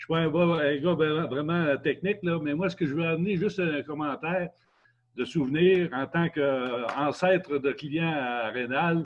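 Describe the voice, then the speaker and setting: A man with a Quebec accent, ordinary pitch variation and a fairly slow pace. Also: fairly high pitch for a man. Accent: Québécois French. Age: 70s. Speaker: customer. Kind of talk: testimony. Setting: video call. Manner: halting.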